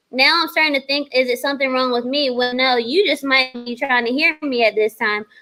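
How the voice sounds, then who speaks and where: Loud and fairly quick, a woman speaks at a high pitch with ordinary pitch variation and hardly any pauses. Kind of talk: casual chat.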